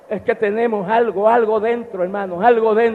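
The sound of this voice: With fairly even intonation, the words come in an unforced reading voice.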